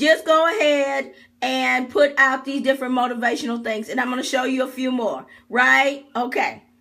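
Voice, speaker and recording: In a raised, projected voice, a woman speaks at a moderate pace with an animated, bright, sharp tone. Her pitch is high, with ordinary variation. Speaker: online business coach. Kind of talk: live-streamed tutorial. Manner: loud.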